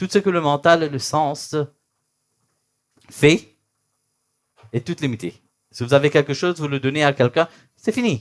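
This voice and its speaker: A man's fairly high voice at a fairly slow pace. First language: not French, thinks in English (speaking French). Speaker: spiritual teacher. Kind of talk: spiritual talk (satsang). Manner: halting, searching for words.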